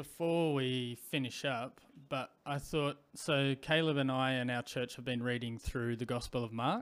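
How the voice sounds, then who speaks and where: Here a man with an Australian accent talks at a fairly slow pace. He barely pauses, and his intonation stays fairly even. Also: medium pitch for a man. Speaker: podcast host. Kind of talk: interview.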